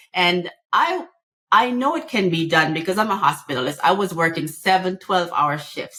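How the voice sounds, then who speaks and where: In a Jamaican accent, a woman speaks at a moderate pace with fairly low pitch, a bright, sharp tone and lively intonation. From Jamaica, rural. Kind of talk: podcast interview.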